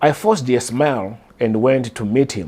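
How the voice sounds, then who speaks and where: A man speaks with a southern African accent and a dark, mellow tone. His pitch varies an ordinary amount. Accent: deep southern African. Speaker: artist and vlogger. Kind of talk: personal storytelling. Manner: hesitant, many fillers.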